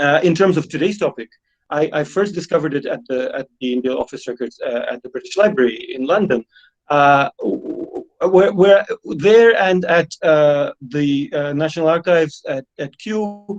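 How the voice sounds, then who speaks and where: The recording is dry and close with no echo, capturing a man whose pitch sits high. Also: lively intonation, moderate pace. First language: Russian. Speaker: history professor. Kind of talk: online lecture. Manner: halting, many fillers.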